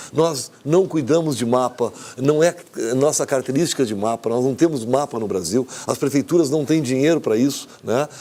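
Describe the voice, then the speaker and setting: At a medium pitch, a man talks at a moderate pace with ordinary pitch variation. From southern Brazil. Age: 60s. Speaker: engineer, former basketball player. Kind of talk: TV interview. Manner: halting, many false starts.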